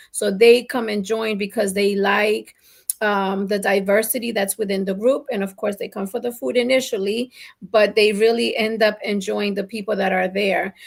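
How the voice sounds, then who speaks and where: An unremarkable speaking voice from a woman at a medium pitch, with fairly even intonation and a moderate pace. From Colombian family, raised in New Jersey/New York. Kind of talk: casual talk show conversation.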